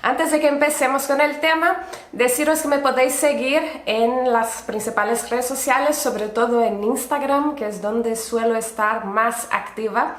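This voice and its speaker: In a Brazilian accent, a woman speaks high at a fairly slow pace, with audible room echo and noticeable background noise. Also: ordinary pitch variation. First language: Portuguese (speaking Spanish). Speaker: podcast host, urban gardener. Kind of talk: casual solo podcast narration.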